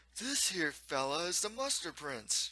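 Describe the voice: A man's put-on character voice, fairly high in pitch with big pitch swings, a bright, sharp tone and a fairly slow pace.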